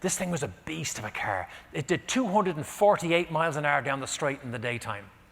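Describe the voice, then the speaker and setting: In an Irish accent, a man speaks at a moderate pace with lively intonation. His voice is fairly high in pitch and shows vocal fry. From Ireland. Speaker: motivational keynote speaker. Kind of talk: keynote storytelling.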